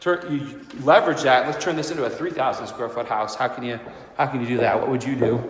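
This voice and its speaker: Noticeable background noise and audible room echo around a man's fairly high voice, ordinary in its pitch variation. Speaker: real estate agent. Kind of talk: home tour walkthrough narration. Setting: walking through a house, partly on outdoor deck. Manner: loud; casual, repetitive filler words. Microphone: AirPods mic, echoey room.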